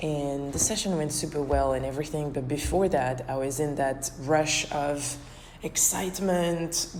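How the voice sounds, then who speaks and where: Noticeable background noise sits under a woman's very deep, low voice with ordinary pitch variation. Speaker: dance choreographer and podcaster. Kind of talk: casual reflective podcast talk.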